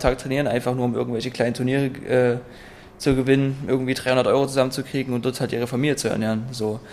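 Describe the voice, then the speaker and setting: A man at a very fast pace, medium-pitched and monotone, with audible room echo. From Saxony, eastern Germany (Freiberg). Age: 20s. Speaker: mixed martial arts athlete. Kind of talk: interview. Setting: in a martial arts gym.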